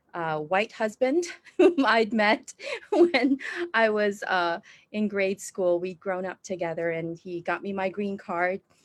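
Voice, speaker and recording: A woman with an American accent at a medium pitch, fairly slow pace, ordinary pitch variation, and a dry, close sound with no echo. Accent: American-leaning. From Indonesia. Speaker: church planting trainer. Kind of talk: interview. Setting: video call.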